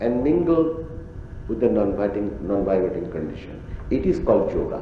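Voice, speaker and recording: A man with a Bengali accent speaks at a moderate pace, with audible room echo and noticeable background noise. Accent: Bengali-accented Indian English. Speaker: spiritual teacher. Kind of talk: religious discourse to audience. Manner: halting.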